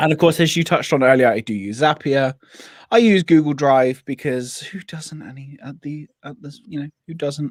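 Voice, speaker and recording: The sound is dry and close, with no echo. A man with a West Country accent speaks with ordinary pitch variation. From England, Devon. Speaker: business coach and productivity creator. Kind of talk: casual chat. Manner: animated.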